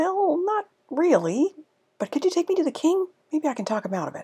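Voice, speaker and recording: A woman does a put-on, squeaky character voice at an extremely high pitch, swinging very widely in pitch at a fairly quick pace. The sound is dry and close, with no echo. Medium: read story. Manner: earnest.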